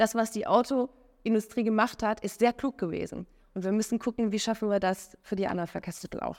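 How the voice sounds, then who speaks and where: At a fairly quick pace, a woman with a fairly high pitch and fairly even intonation talks in an unremarkable speaking voice. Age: 30s. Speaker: entrepreneur and mobility consultant. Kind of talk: interview. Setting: recorded on site at a conference. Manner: many filler sounds.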